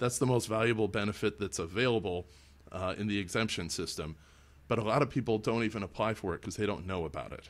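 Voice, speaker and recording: A man talks at a very fast pace. He has an American accent and ordinary pitch variation. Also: fairly low pitch for a man. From Illinois. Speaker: political candidate. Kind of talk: interview. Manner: halting, with frequent self-corrections.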